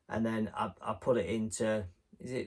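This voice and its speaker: This man talks with an English accent at a fairly low pitch. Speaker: retro game collector YouTuber. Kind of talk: casual vlog. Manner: rambling, conversational.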